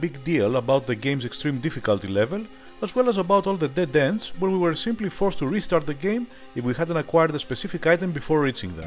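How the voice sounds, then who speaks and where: A man with a Greek accent talks at a very fast pace and fairly high pitch with very wide pitch swings, with music in the background. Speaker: retro game reviewer. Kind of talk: game review voice-over. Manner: casual, humorous.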